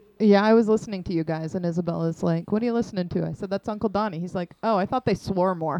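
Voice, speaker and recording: Talking very fast with hardly any pauses, a woman keeps a medium pitch and ordinary pitch variation. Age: 40s. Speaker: podcast guest, host's sister. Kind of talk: casual chat.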